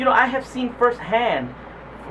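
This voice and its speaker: High-pitched male speech with noticeable background noise. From New Jersey, Puerto Rican. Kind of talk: street interview. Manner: halting.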